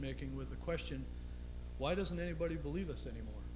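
Noticeable background noise runs under the audio. A man is speaking. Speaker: club moderator. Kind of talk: formal introduction. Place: hall. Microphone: podium.

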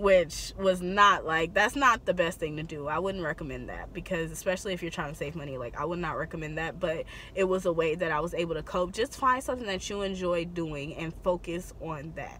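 A woman speaks at a fairly quick pace with hardly any pauses, a fairly low pitch and ordinary pitch variation, in a dry sound with no echo over light background noise. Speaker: beauty vlogger. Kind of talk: casual vlog chat. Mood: supportive, reflective. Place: car. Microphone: phone near.

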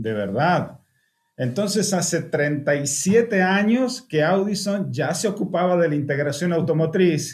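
Very slow pace and lively intonation against a quiet background. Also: man, high pitch for a man. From Argentina. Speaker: car audio engineer; car audio trainer. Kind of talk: webinar presentation. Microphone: webcam.

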